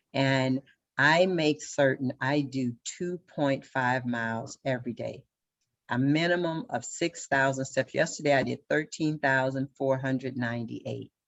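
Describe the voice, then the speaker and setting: In a Southern US accent, a woman with a very deep, low voice speaks at a fairly slow pace with fairly even intonation. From Louisiana. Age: 60s. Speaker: local party official, military veteran. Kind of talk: panel discussion.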